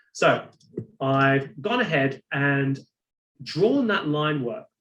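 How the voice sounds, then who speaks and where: Speaking at a fairly slow pace, a man with an unremarkable speaking voice uses lively intonation at a fairly high pitch. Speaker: software instructor. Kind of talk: webinar tutorial.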